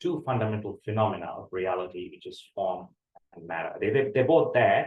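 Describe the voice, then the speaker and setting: With a Tamil accent, a man speaks at a fairly quick pace. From India, Tamil-speaking. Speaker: university lecturer. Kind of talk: lecture. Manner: hesitant, many fillers and repetitions.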